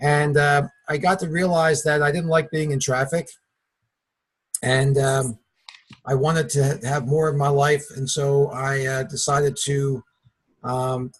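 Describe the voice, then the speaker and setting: A somewhat breathy voice in a Philadelphia accent, fairly slow and monotone, with flat intonation and long, frequent pauses. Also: man, fairly high pitch for a man. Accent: Philadelphia accent, noticeable. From Philadelphia area, US. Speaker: network marketing partner, former vitamin rep. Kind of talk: webinar introduction, personal story.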